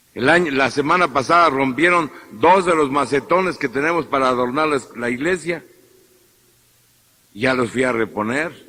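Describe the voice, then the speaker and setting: A man with a Mexican accent speaks with ordinary pitch variation and long, frequent pauses. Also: fairly high pitch for a man, moderate pace. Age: 50s. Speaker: priest. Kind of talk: sermon. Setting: church.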